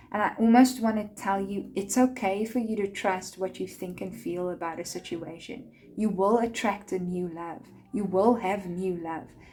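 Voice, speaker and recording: At a moderate pace, a woman speaks in a medium pitch that is somewhat breathy, with ordinary pitch variation. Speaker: tarot card reader. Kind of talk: tarot reading.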